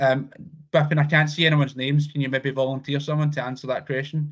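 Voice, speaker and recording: In a Scottish accent, a man speaks with a somewhat breathy, fairly high-pitched voice over a quiet background. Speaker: insurance provider representative. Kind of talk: business presentation on a video call. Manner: fast.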